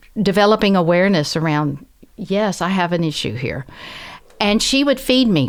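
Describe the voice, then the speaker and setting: On a very clean recording with a silent background, a woman with a Southern US accent talks at a moderate pace and medium pitch, her intonation lively. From US South. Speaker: professor and translator. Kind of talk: interview conversation.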